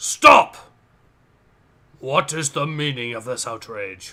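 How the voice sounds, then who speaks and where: Putting on a raspy character voice, a man speaks fairly slowly at a medium pitch with ordinary pitch variation. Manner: stern, officious.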